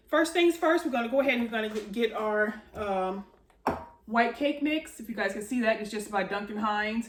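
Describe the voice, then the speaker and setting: A woman's fairly high voice with lively intonation, against noticeable background noise. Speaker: home baking video host. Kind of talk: cooking tutorial. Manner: fast; casual, filler-heavy.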